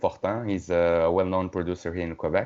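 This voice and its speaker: A man speaks with a non-native accent at a moderate pace. His pitch is very deep and low. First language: not English. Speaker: metal band musician. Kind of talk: casual interview conversation. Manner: halting, many fillers.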